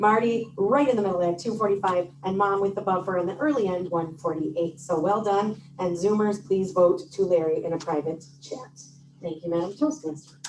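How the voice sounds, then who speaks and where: Music runs in the background as a woman with a medium pitch and ordinary pitch variation speaks at a moderate pace with hardly any pauses. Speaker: meeting timer. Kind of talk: meeting report. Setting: hybrid club meeting with microphone and Zoom. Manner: loud.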